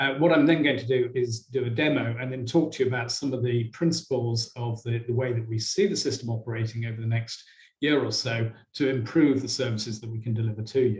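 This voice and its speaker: Somewhat breathy and fairly even in intonation, a man speaks at a very fast pace. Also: medium pitch for a man. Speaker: software company presenter. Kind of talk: product presentation to online audience.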